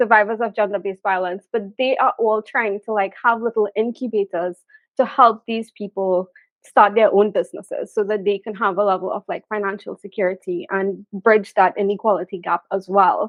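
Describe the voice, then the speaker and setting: A woman in a Trinidadian accent, medium pitch, fairly even intonation and a moderate pace. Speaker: business content creator. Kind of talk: interview question.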